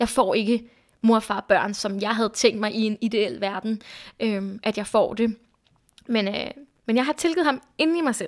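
The recording is very clean, with a silent background. A woman's fairly high voice moves in pitch in an ordinary way. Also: fairly slow pace. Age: 20s. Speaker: podcast guest sharing personal story. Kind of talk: casual conversation. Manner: hesitant, many fillers.

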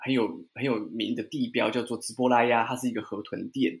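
A man's medium-pitched, a normal speaking voice, fairly quick, with ordinary pitch variation. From Taiwan. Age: 30s. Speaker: watercolor painter and guesthouse owner. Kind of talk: interview.

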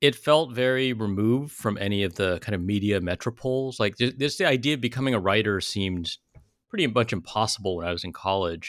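A man speaks fairly quickly in a fairly low voice with ordinary pitch variation. The recording is very clean, with a silent background. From California (South Bay). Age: 40s. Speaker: memoirist. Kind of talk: interview.

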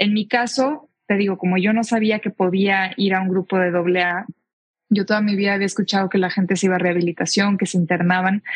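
At a fairly quick pace, a woman talks in a somewhat breathy medium pitch. Her intonation is fairly even and her loudness very even. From Mexico, Tijuana. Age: 20s. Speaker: public speaker and equestrian rider. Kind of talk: testimony.

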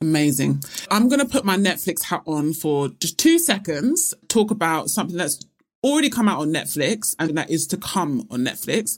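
A woman with a British accent talks at a moderate pace, her fairly low pitch swinging very widely. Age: 20s. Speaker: podcast co-host. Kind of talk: casual chat.

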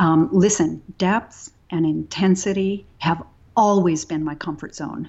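A woman with an American accent speaks in a fairly low pitch. Her pitch varies in an ordinary way, and she has a normal speaking voice. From Texas. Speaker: yoga teacher. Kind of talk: interview.

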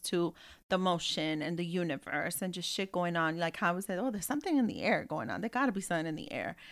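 A woman with an American accent talks very fast at a medium pitch with lively intonation, on a very clean recording with a silent background. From US Northeast (Bronx, New York). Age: 30s. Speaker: podcast host. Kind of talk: casual chat. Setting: studio.

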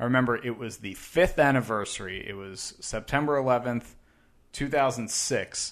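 A man with a normal speaking voice talks at a medium pitch and a moderate pace, with ordinary pitch variation. His loudness swings widely against a quiet background. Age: 30s. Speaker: podcast co-host. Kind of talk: casual chat. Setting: studio.

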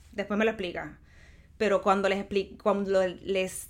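A woman with a Puerto Rican accent is heard on a very clean recording with a silent background. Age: 40s. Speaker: creative agency co-founder. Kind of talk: casual interview.

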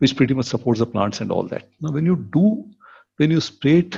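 A man talks at a very fast pace, with lively intonation. His tone is dark and mellow and somewhat breathy. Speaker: venture capitalist and entrepreneur. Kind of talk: casual interview. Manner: frequent filler 'okay'.

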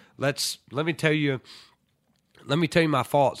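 At a fairly quick speed, a man's voice sounds dry and close, without echo. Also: very clean recording, silent background. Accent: Southern US. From US South, Tennessee. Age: 30s. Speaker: college football head coach. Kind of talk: interview.

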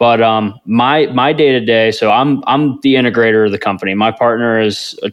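This is a man with an unremarkable speaking voice. He talks at a medium pitch and a fairly quick pace. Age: 20s. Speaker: real estate investor. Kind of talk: interview.

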